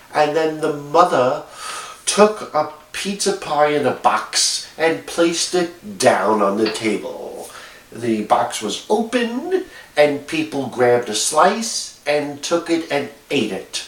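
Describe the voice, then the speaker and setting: A man with a New York accent speaks at a very slow pace with a fairly high pitch. His pitch swings very widely, and background noise is noticeable. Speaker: video blogger. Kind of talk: casual monologue. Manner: halting, many fillers.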